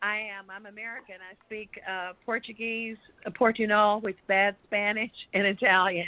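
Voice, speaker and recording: In a Texas accent, a woman with a medium pitch speaks in a monotone, flat intonation. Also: moderate pace, big swings in loudness. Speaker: radio guest, former radio worker. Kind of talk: casual chat. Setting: live online talk show.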